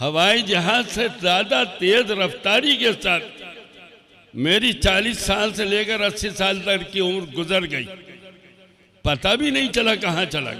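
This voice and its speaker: A man projects a raised, high-pitched voice through noticeable background noise. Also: ordinary pitch variation. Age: 80s+. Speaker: Islamic scholar. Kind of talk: sermon.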